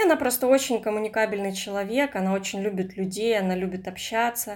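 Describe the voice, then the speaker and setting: A plain, everyday voice from a woman, fairly high in pitch, with ordinary pitch variation. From Russian Far East, Komsomolsk-on-Amur. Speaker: writer. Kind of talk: casual chat.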